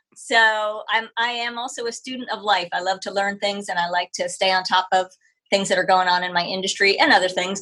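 With an American accent, a woman speaks at a fairly quick pace in a medium pitch, her tone bright and sharp and her intonation fairly even. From New Jersey, then Ohio. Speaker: dog trainer and pet care business owner. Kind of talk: casual interview. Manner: hesitant, many fillers.

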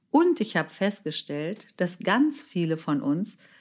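Her pitch swings very widely as the woman speaks at a very slow pace. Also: very clean recording, silent background. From Germany. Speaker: author and podcast host. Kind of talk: solo podcast monologue.

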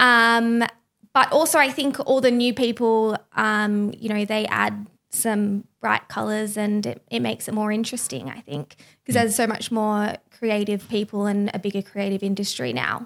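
A woman with an Australian accent talks at a moderate pace and a fairly high pitch, with ordinary pitch variation. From Byron Bay, Australia. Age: young. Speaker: podcast team member. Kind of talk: casual interview.

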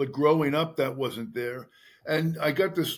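At a moderate pace, a man with a fairly high pitch speaks in a normal speaking voice with ordinary pitch variation. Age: 60s. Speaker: retired detective and author. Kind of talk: interview.

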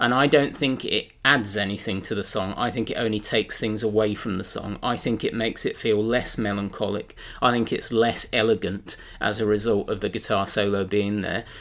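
The speaker has a plain, everyday voice and a fairly quick pace with hardly any pauses. Intonation is fairly even. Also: man, fairly low pitch for a man. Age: 40s. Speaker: music fan. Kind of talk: casual chat.

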